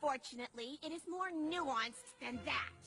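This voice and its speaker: A female-sounding voice does a cartoonish character at a high pitch, with clear music in the background. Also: moderate pace. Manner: grandiose, theatrical.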